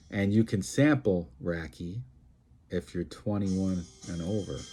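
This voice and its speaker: Music plays in the background. A man speaks with a New York accent. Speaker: event presenter, lawyer. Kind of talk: promotional monologue. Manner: animated.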